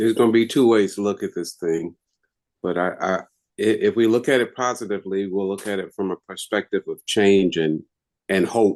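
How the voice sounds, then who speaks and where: Against a quiet background, a man with an ordinary speaking voice talks at a moderate pace with fairly even intonation. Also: fairly low pitch for a man, dry, close sound with no echo. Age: 60s. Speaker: webinar participant. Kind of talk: casual chat.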